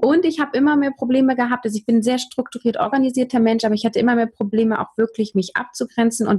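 A woman's somewhat breathy, dark, mellow voice at a fairly high pitch and a very fast pace, with a dry, close sound and no echo. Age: 30s. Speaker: communication trainer and podcaster. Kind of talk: interview.

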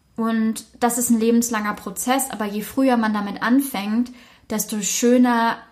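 Somewhat breathy, a woman speaks at a fairly high pitch in a monotone, flat intonation. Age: 20s. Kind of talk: casual chat.

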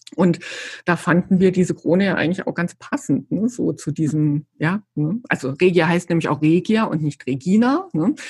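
Somewhat breathy and fairly low in pitch, a woman speaks at a moderate pace with lively intonation in a dry, close sound with no echo. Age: 50s. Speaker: yarn company employee. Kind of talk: casual interview chat.

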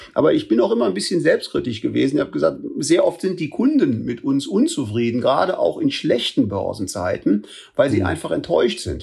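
The man talks at a fairly quick pace. He leaves hardly any pauses. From Germany, Bonn. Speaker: retired banker and investor. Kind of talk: interview.

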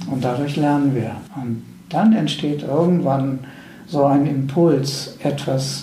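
A man's fairly high voice amid audible room echo and noticeable background noise. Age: 60s. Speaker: spiritual teacher and end-of-life companion. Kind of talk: interview. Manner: halting, repeating words.

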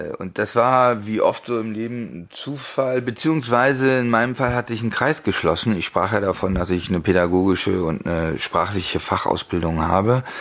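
Against noticeable background noise, this man talks with lively intonation. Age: 50s. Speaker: sommelier and language teacher. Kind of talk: interview. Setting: in person. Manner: hesitant, many filler sounds.

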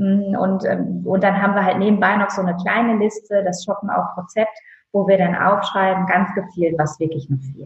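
A woman with a normal speaking voice talks at a moderate pace. Her pitch is medium, with fairly even intonation. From northern Germany (Friesland). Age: 30s. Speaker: stylist and image consultant. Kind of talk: casual interview.

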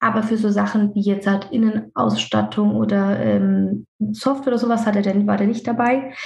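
At a moderate pace, a woman talks with very even loudness. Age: 30s. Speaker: dentist and practice owner. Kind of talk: casual interview. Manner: talkative, hesitant with fillers.

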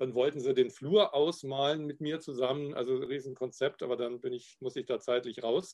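At a moderate pace with hardly any pauses and fairly even intonation, this is a normal speaking voice. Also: man, medium pitch for a man. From Upper Bavaria, Garmisch-Partenkirchen. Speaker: graphic designer and illustrator. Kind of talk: casual interview.

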